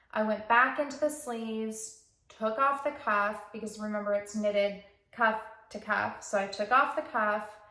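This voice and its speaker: Audible room echo around a woman's fairly high-pitched voice. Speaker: knitting podcaster. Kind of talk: casual chat.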